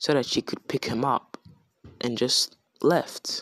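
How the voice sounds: The reading voice sounds natural, and its intonation is fairly even. Behind it, all is quiet.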